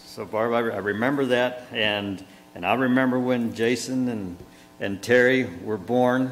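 At a fairly slow pace and with fairly even intonation, the voice comes through light background noise. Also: man. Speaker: pastor officiating a funeral. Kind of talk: funeral sermon. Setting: church. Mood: warm, reflective, some smiles. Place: church. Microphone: lapel.

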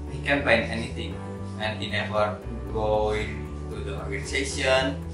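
Clear music plays behind a man who speaks at a moderate pace amid audible room echo. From Pontianak, West Borneo, Indonesia. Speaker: university student. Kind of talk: class presentation to camera. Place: home room. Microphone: camera far.

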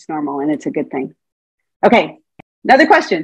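A woman speaks in an animated tone against a quiet background. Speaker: Montessori teacher trainer. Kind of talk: lecture. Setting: video call. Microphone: video call.

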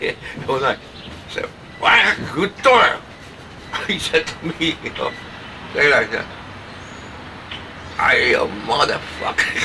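A man with a Polish accent speaks at a fairly slow pace, with long, frequent pauses over noticeable background noise. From Poland. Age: old. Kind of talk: casual talk to camera.

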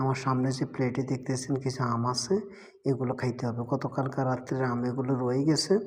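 A man's somewhat breathy voice stays monotone, with flat intonation. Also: medium pitch for a man. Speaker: migrant worker vlogger. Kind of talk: casual vlog. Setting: at home at mealtime.

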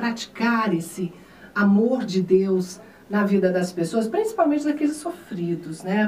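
Lively intonation marks a woman speaking at a moderate pace, with audible room echo and light background noise. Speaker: radio and TV host. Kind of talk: casual interview. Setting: radio/TV studio. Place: studio.

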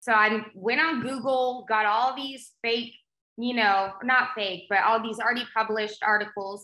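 In an American accent, a woman with fairly high pitch speaks at a moderate pace in a bright, sharp tone, her intonation fairly even and the room echo audible. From South Texas, Rio Grande Valley; Texas. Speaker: agricultural show host and magazine publisher; agricultural show host. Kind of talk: casual interview chat. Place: home room. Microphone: video call.

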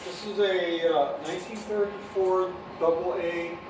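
Clear background noise sits behind a man speaking at a fairly high pitch.

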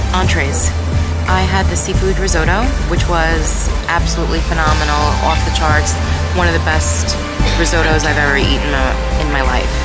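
A woman at a moderate pace, dry sound with no echo, loud music in the background. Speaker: food vlogger. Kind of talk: casual vlog chat review. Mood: enthusiastic, pleased. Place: cafe. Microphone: phone near.

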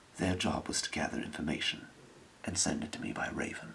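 The voice is whispering at a moderate pace. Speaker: game master or storyteller. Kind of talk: in-character narration to players. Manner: soft-spoken conspiratorial ASMR briefing.

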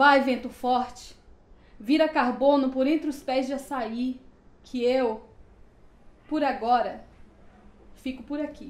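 Spoken at a very slow pace with long, frequent pauses, the voice stays monotone and flat, and audible room echo surrounds it. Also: woman, high pitch for a woman. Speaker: poet. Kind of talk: poetry reading. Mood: emotional, mournful. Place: home room.

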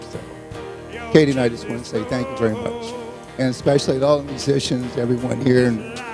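A man talks at a fairly quick pace. Clear music sits in the background. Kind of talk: thank-you speech. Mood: moved, grateful. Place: church. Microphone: handheld.

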